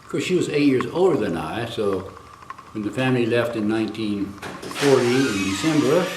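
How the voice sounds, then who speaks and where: Amid audible room echo and noticeable background noise, a man with an American accent speaks at a moderate pace and medium pitch, with lively intonation and big swings in loudness. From US, early childhood in China. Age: 80s+. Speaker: elderly man recounting family history. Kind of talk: interview.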